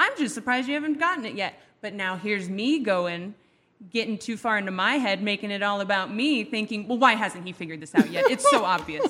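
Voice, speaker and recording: A woman's fairly high voice at a very fast pace, lively in intonation, over noticeable background noise. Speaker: radio co-host and substitute teacher. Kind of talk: casual chat. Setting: radio studio.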